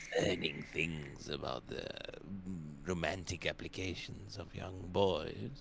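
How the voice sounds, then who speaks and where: A man puts on a character voice with a very deep, low pitch. He goes at a fairly slow pace over clear background noise. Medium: actual play. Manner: hesitant, stammering, formal.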